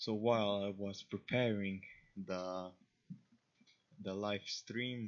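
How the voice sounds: The man's voice sits low in pitch and shows little pitch movement.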